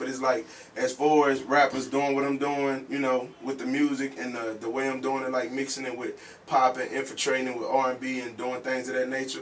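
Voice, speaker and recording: A man's medium-pitched voice at a fairly quick pace, amid noticeable background noise. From northwest Louisiana (Mansfield). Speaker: rapper. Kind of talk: interview. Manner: halting, many fillers.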